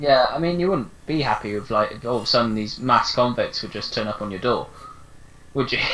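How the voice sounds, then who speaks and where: A man at medium pitch with an English accent, lively intonation and a fairly quick pace. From England. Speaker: podcast co-host. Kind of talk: casual chat.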